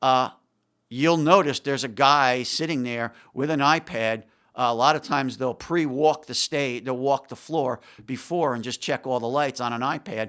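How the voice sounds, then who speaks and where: In a very clean recording with a silent background, a man speaks at a moderate pace. He has an ordinary speaking voice, medium pitch and ordinary pitch variation. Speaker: music technology expert. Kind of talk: casual chat.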